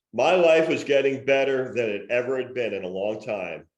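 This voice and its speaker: With audible room echo, a man of medium pitch talks at a moderate pace with ordinary pitch variation. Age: 60s. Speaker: podcast co-host. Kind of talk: casual chat; reading aloud from own memoir.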